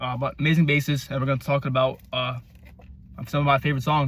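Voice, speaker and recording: A man speaks at a very fast pace with a somewhat breathy voice. His intonation stays monotone and flat. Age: 20s. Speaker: music reviewer on YouTube. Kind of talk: casual album review monologue. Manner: stammering.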